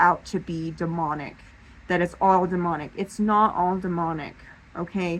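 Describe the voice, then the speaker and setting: Speaking with a Southern US accent, a woman with a fairly low pitch talks at a moderate pace with fairly even intonation. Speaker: paranormal vlogger. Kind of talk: casual monologue to camera. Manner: halting, with fillers and restarts.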